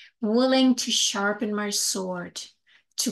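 A woman speaks in a calm, gentle tone. Her pitch varies in an ordinary way. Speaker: spiritual teacher. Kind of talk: poem reading, spiritual, read aloud to listeners with eyes closed. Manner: slow, calm, meditative, gentle; rhythmic, deliberate, earnest. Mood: calm, heartfelt, slow. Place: home room. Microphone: webcam.

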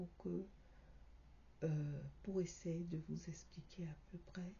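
Soft-spoken and somewhat breathy, a woman talks at a very slow pace with a fairly low pitch. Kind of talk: video commentary. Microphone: phone near.

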